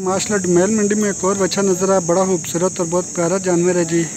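A dry, echo-free sound with noticeable background noise. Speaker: channel host filming at a livestock market. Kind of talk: commentary with short interviews. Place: market. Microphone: phone near.

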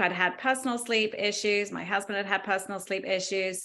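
A woman with an English accent speaks fairly quickly in a bright, sharp tone with fairly even intonation. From England. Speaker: attorney and yoga instructor moderating a discussion; attorney, yoga instructor moderating a discussion. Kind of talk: interview moderation. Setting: video call. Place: home room. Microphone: video call.

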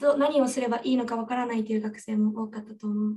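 The woman's intonation stays fairly even. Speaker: student moderator. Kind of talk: webinar moderation. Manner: formal. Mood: polite, formal. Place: office. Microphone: studio mic.

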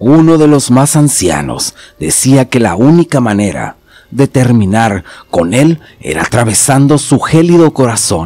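A man speaks at a fairly slow pace in a dramatic tone, his medium-pitched voice swinging very widely in pitch, with a dry, close sound and no echo. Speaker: horror story narrator, channel host. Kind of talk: scripted horror story narration, first-person as a character. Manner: suspenseful, dramatic, measured storytelling pace.

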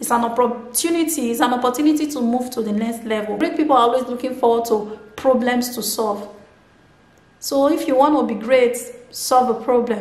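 A woman's high, animated voice at a fairly quick pace, with audible room echo. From Nigeria. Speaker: motivational video blogger; vlogger. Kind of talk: motivational monologue. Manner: animated, repetitive. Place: home room.

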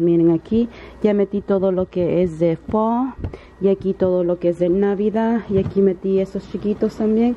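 A woman's fairly even intonation comes through noticeable background noise. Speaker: vlogger. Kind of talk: casual vlog. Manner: halting, many fillers.

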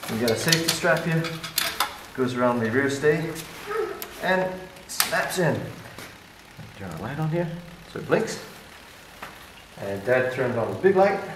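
The speech has long, frequent pauses. Noticeable background noise can be heard. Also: man, moderate pace, big swings in loudness. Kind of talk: casual vlog chat. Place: garage. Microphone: helmet.

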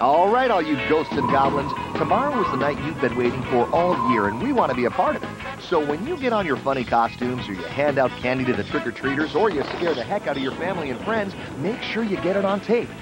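Clear music plays in the background as a man speaks at a very fast pace, the sound dry with no echo. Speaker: TV show announcer. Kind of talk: promotional announcement. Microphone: old recording.

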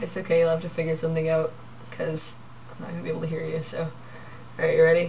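A woman with a fairly low pitch talks at a very fast pace in a monotone, flat intonation, broken by long, frequent pauses, over light background noise. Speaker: vlogger. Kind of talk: casual game play with friends. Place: home room. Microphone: webcam.

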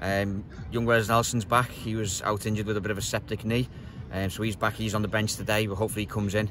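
Over noticeable background noise, a man talks very fast in a fairly low pitch with monotone, flat intonation, and the sound is dry with no echo. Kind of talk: interview answer. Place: stadium.

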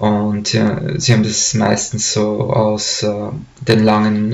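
A man's fairly low voice with fairly even intonation. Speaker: storyteller. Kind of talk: casual storytelling to camera. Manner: hesitant, many fillers. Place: home room. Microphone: webcam.

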